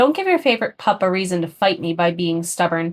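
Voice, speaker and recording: A woman uses a put-on character voice at medium pitch and a very fast pace. The recording is very clean, with a silent background. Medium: read story. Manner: sarcastic.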